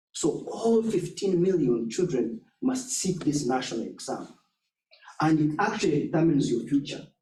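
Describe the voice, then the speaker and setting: Audible room echo surrounds a man whose high pitch and dark, mellow tone come with very wide pitch swings at a moderate pace. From southwestern Uganda. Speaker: education nonprofit leader. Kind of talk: talk with slides. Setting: church forum with audience.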